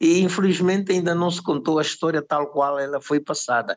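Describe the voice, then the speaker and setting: This is a man speaking. He keeps a moderate pace. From Angola. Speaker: musician. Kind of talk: interview answer.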